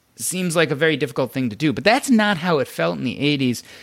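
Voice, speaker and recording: Noticeable background noise surrounds a man with an American accent. His pitch is fairly high and his intonation lively. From US Midwest (Evanston, Illinois). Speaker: physician and financial blogger. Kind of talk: podcast interview.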